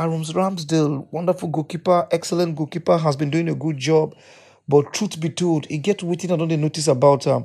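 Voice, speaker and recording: A man's dark, mellow tone at a fairly quick pace. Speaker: football podcaster. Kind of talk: casual match commentary monologue. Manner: animated.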